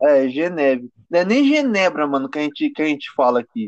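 A man is speaking. His pitch swings very widely. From Brazil. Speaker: amateur rapper. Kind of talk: casual chat.

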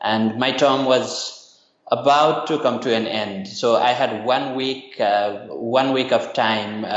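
Recorded with audible room echo and noticeable background noise, a man speaks. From Nepal. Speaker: university lecturer and nonprofit founder. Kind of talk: interview. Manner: hesitant, many fillers.

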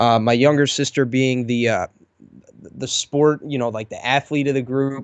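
An ordinary speaking voice, a man with fairly high pitch, fairly even intonation and a moderate pace. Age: young. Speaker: lawn care YouTuber. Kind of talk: casual chat.

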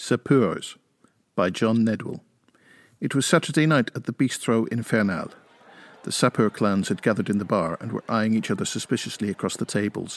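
In a very clean recording with a silent background and a dry, close sound with no echo, a man with a plain, everyday voice talks at medium pitch and a fairly quick pace with ordinary pitch variation. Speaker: co-host; podcast co-host and interviewer. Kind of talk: podcast hosting, interview and story reading.

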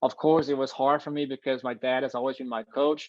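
A man with a Danish accent, medium pitch and a fairly quick pace. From Denmark, Copenhagen. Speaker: long jumper. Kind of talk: interview.

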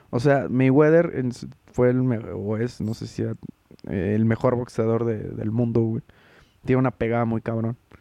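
Delivered with a Mexican accent at a moderate pace, the dark, mellow voice keeps a fairly even intonation broken by long, frequent pauses. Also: man, medium pitch for a man. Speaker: podcast host. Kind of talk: casual chat. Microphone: no headphones, audio may echo double.

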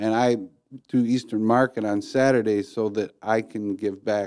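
An ordinary speaking voice from a man with an American accent, fairly low in pitch, at a moderate pace with fairly even intonation. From Detroit area, Michigan. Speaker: coffee company founder. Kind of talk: casual interview.

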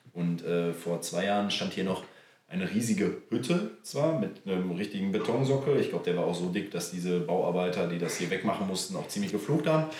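In a room with audible echo, a man talks at a fairly quick pace, his fairly low pitch lifted by lively intonation. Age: 30s. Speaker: amateur footballer and club board member. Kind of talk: casual chat. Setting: on location at a club.

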